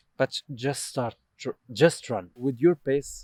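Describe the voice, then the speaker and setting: With an Arabic accent, a man talks at medium pitch and a fairly slow pace, with ordinary pitch variation in a dry, close sound with no echo. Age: 20s. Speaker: doctor. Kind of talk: casual chat. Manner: halting.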